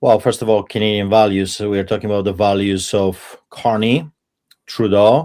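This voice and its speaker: A man with a Polish accent speaks in a dark, mellow tone at a fairly low pitch, his intonation fairly even. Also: moderate pace. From Poland. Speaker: pastor. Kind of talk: panel debate.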